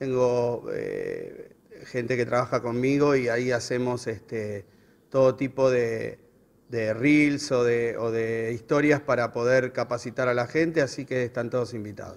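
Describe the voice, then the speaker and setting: A man's medium-pitched, monotone, flat voice in a Buenos Aires accent at a fairly slow pace. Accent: Rioplatense Spanish (Buenos Aires). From Buenos Aires, Argentina; Argentina. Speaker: road safety educator. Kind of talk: interview. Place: hall. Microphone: handheld.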